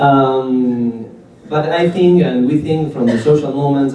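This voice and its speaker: A man talks with an Argentine accent. The room echo is audible, and background noise is noticeable. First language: Spanish. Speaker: cooperative movement activist. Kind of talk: talk to an audience. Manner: halting, with many fillers.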